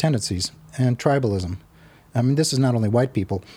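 A man with an American accent sounds somewhat breathy, with ordinary pitch variation. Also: dry, close sound with no echo. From Arizona. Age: 60s. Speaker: retired housing activist. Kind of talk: casual interview chat. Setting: at his home.

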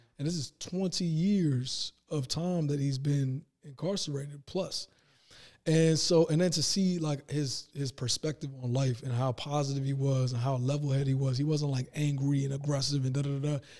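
Fairly high in pitch, a man speaks at a moderate pace with fairly even intonation. His tone is dark and mellow, and somewhat breathy. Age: 30s. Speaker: entrepreneur. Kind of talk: casual chat.

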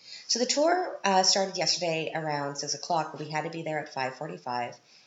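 Noticeable background noise sits behind a woman's voice. She speaks fairly quickly, very deep and low in pitch, with ordinary pitch variation. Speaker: podcast host. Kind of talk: casual storytelling monologue. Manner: casual, with fillers and restarts.

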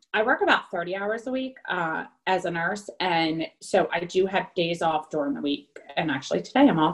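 With an American accent, a woman uses a plain, everyday voice at a medium pitch, talking at a moderate pace with lively intonation. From New Jersey. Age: 30s. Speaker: nurse and military spouse. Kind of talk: interview.

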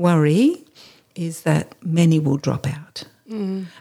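Fairly low-pitched and dark, mellow in tone, a woman talks with an Australian accent and ordinary pitch variation. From Australia, New South Wales. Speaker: charity founder. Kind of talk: interview.

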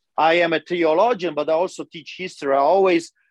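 With a Polish accent, a man speaks at a high pitch and moderate pace in a dry, close sound with no echo. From Poland. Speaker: pastor. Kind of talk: interview testimony. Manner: animated.

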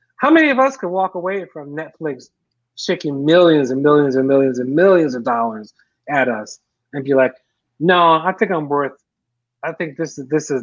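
A man's normal speaking voice, a normal speaking voice with fairly high pitch, ordinary pitch variation and a moderate pace. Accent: American. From US Northeast, North Philadelphia. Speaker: filmmaker and keynote speaker. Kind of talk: interview.

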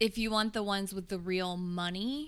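A woman with an American accent speaks in an ordinary speaking voice at a moderate pace, her intonation fairly even. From US South, Tennessee (Nolensville, Williamson County). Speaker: English teacher. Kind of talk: casual chat.

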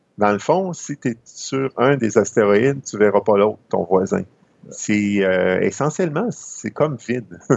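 Speaking at a fairly slow pace, a man with an unremarkable speaking voice and medium pitch uses lively intonation. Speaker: amateur astronomy columnist. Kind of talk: educational chat.

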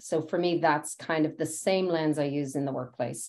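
With a Dublin accent, a woman talks at a fairly quick pace. Her voice is very deep and low, with ordinary pitch variation. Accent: Irish (Dublin). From Ireland, Dublin. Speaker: technology executive. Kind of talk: interview.

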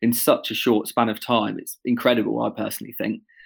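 This very clean recording, with a silent background, features a man in a normal speaking voice. He talks fairly quickly at medium pitch with ordinary pitch variation. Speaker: engagement manager. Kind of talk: casual quiz chat.

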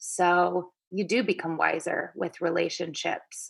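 Fairly slow, monotone delivery with flat intonation and vocal fry. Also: woman. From US Pacific Northwest, Seattle. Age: 30s. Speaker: dating and personal growth blogger. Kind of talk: casual interview chat.

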